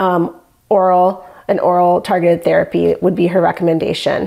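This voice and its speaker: A woman with an American accent, a normal speaking voice at medium pitch. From Michigan. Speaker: patient. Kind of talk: testimony.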